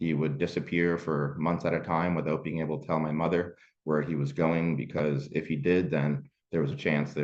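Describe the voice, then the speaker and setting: At a moderate pace, a man talks in a very deep, low voice with fairly even intonation. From Canada, moved from Kenya as a child. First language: Swahili. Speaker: sport coaching support staff. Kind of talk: presentation. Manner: hesitant with many fillers.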